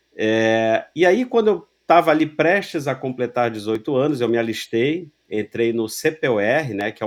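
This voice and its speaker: A plain, everyday voice with lively intonation at a fairly slow pace, on a very clean recording with a silent background. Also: man. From Rio de Janeiro, Brazil. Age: 40s. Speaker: loss prevention professional. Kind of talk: interview conversation.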